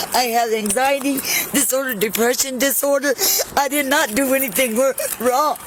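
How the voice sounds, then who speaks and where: Over noticeable background noise, a woman speaks at a high pitch and a moderate pace, with fairly even intonation and very even loudness. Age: 60s. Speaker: detained senior citizen. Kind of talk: police encounter argument. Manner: defiant, sarcastic.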